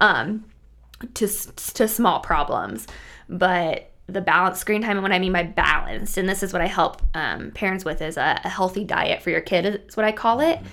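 A woman in a US Midwestern accent speaks at a moderate pace and medium pitch, with ordinary pitch variation. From rural Nebraska, US Midwest. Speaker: school psychologist. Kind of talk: casual interview.

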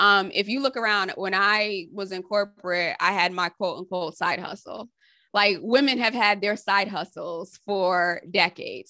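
A woman's bright, sharp, medium-pitched voice with an American accent, fairly slow and with ordinary pitch variation, over a quiet background. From Connecticut, US. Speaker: interviewee. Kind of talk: oral history interview.

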